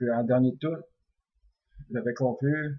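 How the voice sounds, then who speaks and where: This man has a medium pitch and a dark, mellow tone. He sounds somewhat breathy, with fairly even intonation. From Quebec. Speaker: dream interpreter. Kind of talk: religious text commentary. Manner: hesitant, many fillers; relaxed, unhurried.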